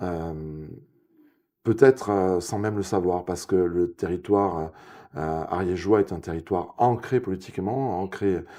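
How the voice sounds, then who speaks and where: With a southwestern French accent, the voice moves at a fairly slow pace in a dark, mellow tone with ordinary pitch variation over a quiet background. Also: man, very deep, low pitch for a man. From southwest France, Ariège (Pyrenees). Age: 50s. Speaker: local election candidate. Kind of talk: political interview. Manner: hesitant, many fillers.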